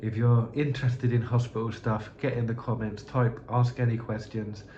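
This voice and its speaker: A man with a southern English accent talks at a moderate pace, with audible room echo. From southern England (Slough). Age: 30s. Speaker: youtuber. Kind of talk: unscripted monologue. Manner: halting.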